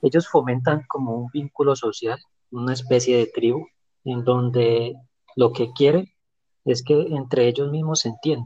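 The voice is somewhat breathy with a dark, mellow tone, fairly even intonation, and a fairly slow pace. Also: man, medium pitch for a man. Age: 30s. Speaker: podcast guest. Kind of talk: prepared talk in discussion.

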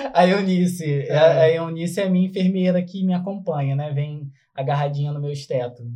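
A fairly quick man's voice, high in pitch, with a dark, mellow tone and ordinary pitch variation. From Brazil, São Gonçalo (Rio de Janeiro state). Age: 30s. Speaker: motivational speaker and health worker. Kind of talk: casual podcast interview.

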